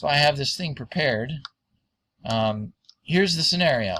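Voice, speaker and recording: A bright, sharp tone with very wide pitch swings. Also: man. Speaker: science explainer. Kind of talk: tutorial. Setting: screen recording at home. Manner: halting.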